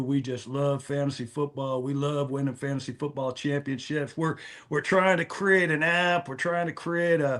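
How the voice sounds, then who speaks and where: A man's fairly high voice at a moderate pace with fairly even intonation, an ordinary speaking voice. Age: 60s. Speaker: fantasy football content creator. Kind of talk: casual chat.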